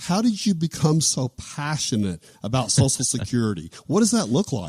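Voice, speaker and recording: A man's voice with very wide pitch swings and vocal fry, dry and close with no echo. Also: medium pitch for a man, moderate pace. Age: 60s. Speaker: financial planner. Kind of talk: interview.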